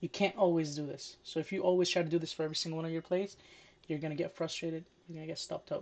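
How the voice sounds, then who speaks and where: The speaker mumbles at a very fast pace. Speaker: day trader. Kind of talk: tutorial. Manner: mumbling.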